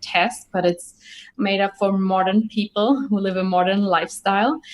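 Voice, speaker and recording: In a German accent, a woman talks at a medium pitch. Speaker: Ayurveda doctor and podcaster. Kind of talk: interview.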